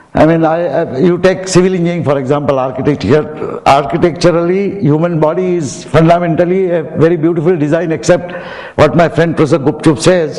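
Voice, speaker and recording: Speaking at a fairly quick pace, a man with a high voice is heard with audible room echo and noticeable background noise. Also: fairly even intonation. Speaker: professor. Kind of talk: commencement speech. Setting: auditorium with audience.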